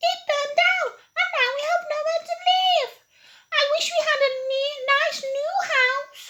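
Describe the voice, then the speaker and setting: A put-on, squeaky character voice, female-sounding and extremely high in pitch. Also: moderate pace. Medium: read story.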